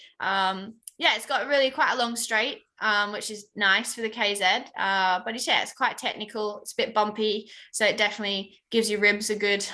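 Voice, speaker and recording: Against a quiet background, a woman with a fairly high pitch and a bright, sharp tone talks at a fairly quick pace with fairly even intonation and big swings in loudness. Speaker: racing driver. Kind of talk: podcast interview.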